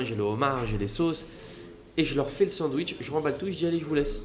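Over noticeable background noise, a man speaks in an animated tone with lively intonation. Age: 20s. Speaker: restaurant entrepreneur. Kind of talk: casual chat.

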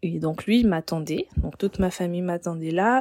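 Fairly low pitch from a woman, on a very clean recording against a silent background. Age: 20s. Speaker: hotel receptionist. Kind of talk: personal storytelling. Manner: hesitant, with repeated words.

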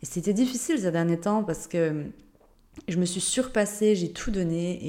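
Speaking at a fairly quick pace, a woman has a fairly low pitch, a dark, mellow tone and ordinary pitch variation. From Switzerland, Jura (Ajoie). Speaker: life and business coach, podcast host. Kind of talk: unscripted solo podcast monologue. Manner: casual, spontaneous.

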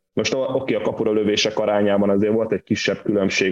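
Here a man speaks at a fairly quick pace. His pitch is fairly low and his intonation monotone and flat. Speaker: football podcast co-host. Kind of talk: casual football discussion. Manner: halting, repeats words.

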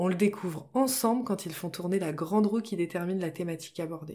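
A woman talks at a moderate pace in an ordinary speaking voice. Her pitch is medium and her intonation lively. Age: 30s. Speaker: podcast host and business coach. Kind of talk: solo podcast monologue. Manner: friendly and relaxed.

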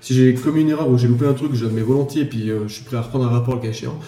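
Delivered at a very fast pace, the speech carries audible room echo. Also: man. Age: 30s. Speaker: real estate appraiser. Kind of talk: casual chat.

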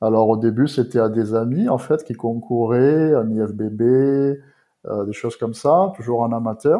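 A man talks at a very slow pace with hardly any pauses. His medium pitch varies in an ordinary way. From southern France, Provence. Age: 30s. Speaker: bodybuilding posing coach. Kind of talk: podcast interview.

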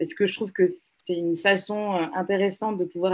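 Speaking at a fairly slow pace, a woman keeps a fairly low pitch in a monotone, flat intonation. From Togo, Lomé. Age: 20s. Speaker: public policy incubator co-founder. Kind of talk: interview conversation.

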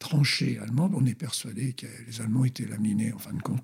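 A man talks in a somewhat breathy voice, his pitch varying in an ordinary way. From France (born in Colombes, near Paris). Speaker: former athlete and history author. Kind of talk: interview, historical storytelling. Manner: animated.

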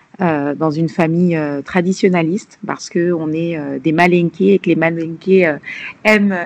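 A plain, everyday voice, a woman's, fairly low-pitched and fairly slow. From Paris region, France (Malian family). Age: 30s. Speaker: nurse and health entrepreneur. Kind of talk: interview.

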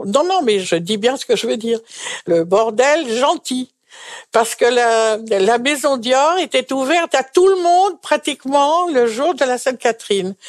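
Over a quiet background, a woman talks in a high pitch with very wide swings in her pitch. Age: 80s+. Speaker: retired seamstress. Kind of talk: testimony. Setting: retirement residence.

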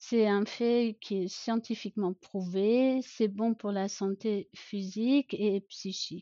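Her intonation fairly even, a woman speaks very slowly at a fairly high pitch. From Germany, rural. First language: German (speaking French). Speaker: pediatrician. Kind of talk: podcast interview.

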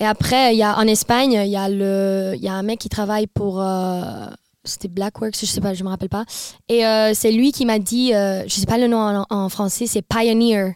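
A woman at medium pitch and a moderate pace, with monotone, flat intonation, on a very clean recording with a silent background. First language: not French (speaking French). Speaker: TikTok influencer and DJ tour manager. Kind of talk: casual chat. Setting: studio, around a table. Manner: halting, mixes in English words.

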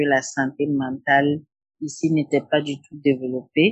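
A woman's very deep, low voice moves at a very slow pace. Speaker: psychotherapist. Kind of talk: interview. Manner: halting.

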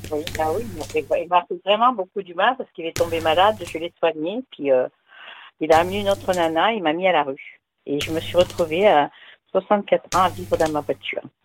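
A woman with a fairly low pitch and vocal fry speaks at a moderate pace, with big swings in loudness and very wide pitch swings, in a dry, close sound with no echo. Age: 60s. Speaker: caller. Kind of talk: phone-in call.

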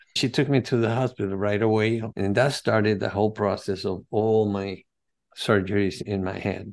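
In a Spanish accent, a man with a fairly low pitch speaks with fairly even intonation over a quiet background. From Venezuela. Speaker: holistic health coach and cancer survivor. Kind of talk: interview.

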